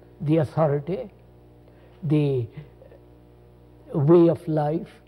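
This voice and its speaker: Very slow speech from a man over background music. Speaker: spiritual teacher in conversation. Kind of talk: reflective conversation, philosophical talk. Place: studio. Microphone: lapel.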